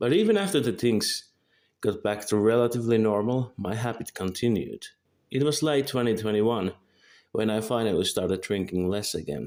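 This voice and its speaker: The man speaks with a Finnish accent at a medium pitch and a moderate pace. His pitch varies an ordinary amount on a very clean recording with a silent background. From Finland. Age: 20s. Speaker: vlogger. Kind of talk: scripted monologue. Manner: halting.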